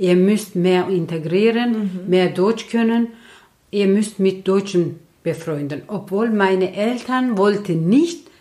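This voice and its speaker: Speaking at a very slow pace with a Turkish accent, a woman has a medium pitch, ordinary pitch variation and a dark, mellow tone. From Turkey. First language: Turkish (speaking German). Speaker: host's mother, interviewee. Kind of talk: casual chat.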